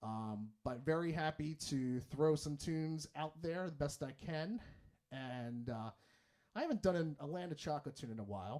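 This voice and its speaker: A man talks at a moderate pace. His fairly high voice has a dark, mellow tone. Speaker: musician and livestream host. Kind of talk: casual livestream chat. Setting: livestream.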